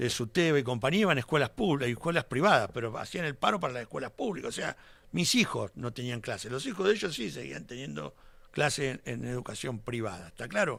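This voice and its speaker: Very wide pitch swings and vocal fry mark this speech at a very fast pace. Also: man, medium pitch for a man. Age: 60s. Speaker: politician. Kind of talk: radio interview.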